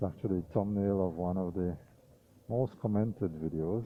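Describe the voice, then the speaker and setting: In a relaxed tone, a man with a very deep, low pitch speaks at a moderate pace with ordinary pitch variation. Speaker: vlogger. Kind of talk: driving commentary. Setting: in a car. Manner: casual, relaxed.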